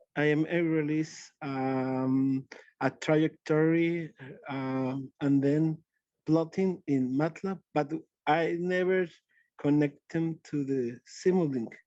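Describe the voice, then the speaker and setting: A man with a Spanish accent, a fairly high pitch, fairly even intonation and a dark, mellow tone, at a very slow pace. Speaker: audience member asking questions. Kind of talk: webinar Q&A. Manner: halting, searching for words.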